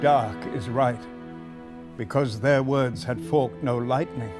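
Music plays behind a man who speaks fairly slowly. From Wales. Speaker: actor. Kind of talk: poetry reading. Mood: grave, intense, solemn. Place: studio.

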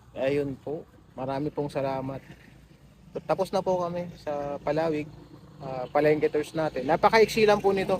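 The speaker is a man with a fairly high pitch and a somewhat breathy voice. His pitch varies in an ordinary way. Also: moderate pace. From Zambales, Philippines. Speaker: travel and food vlogger. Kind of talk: walking tour vlog. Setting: outdoors at a market. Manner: casual, laughs often.

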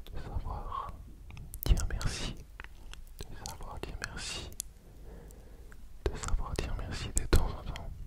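Whispering and soft-spoken, a man talks at a very slow pace with long, frequent pauses. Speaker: ASMR creator. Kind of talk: ASMR soft affirmations. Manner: soft close-mic ASMR whisper. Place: home room. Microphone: studio mic.

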